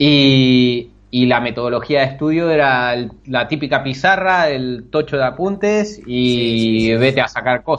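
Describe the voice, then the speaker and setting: A man with an Argentine accent speaks at a fairly slow pace and a medium pitch, using ordinary pitch variation. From Argentina, Bahía Blanca. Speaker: programming student. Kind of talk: interview. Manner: halting, many repetitions.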